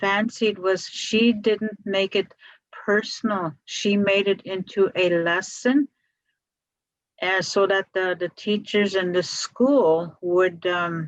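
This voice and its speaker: Music plays in the background of a dry, close recording with no echo. A woman speaks very slowly at a medium pitch with ordinary pitch variation. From Wiikwemikoong Unceded Territory, Manitoulin Island, Ontario, Canada. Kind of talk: storytelling talk in a talking circle. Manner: slow, reflective.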